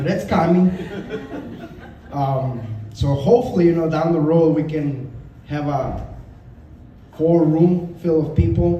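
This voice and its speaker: A man with a fairly high pitch and ordinary pitch variation speaks at a fairly slow pace, leaving long, frequent pauses. Audible room echo and noticeable background noise fill the recording. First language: not English. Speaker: martial arts student. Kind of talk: memorial testimonial speech. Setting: gathering with audience.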